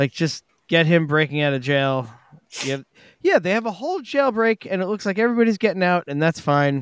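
In a very clean recording with a silent background and a dry, close sound with no echo, a man talks at a fairly quick pace in a high voice that makes very wide pitch swings. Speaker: podcast host. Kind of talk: casual chat. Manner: joking, profane.

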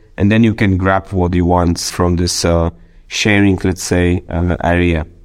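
The man's pitch is very deep and low. He speaks at a fairly slow pace in a monotone, flat intonation. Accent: Polish. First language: Polish. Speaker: deputy mayor. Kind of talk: interview. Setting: remote call. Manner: halting.

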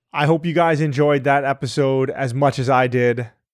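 The recording is very clean with a silent background. A man speaks at medium pitch with fairly even intonation. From Hawaii. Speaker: podcast host. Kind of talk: casual interview chat.

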